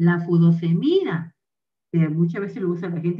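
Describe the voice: A woman speaks at a fairly low pitch with lively intonation.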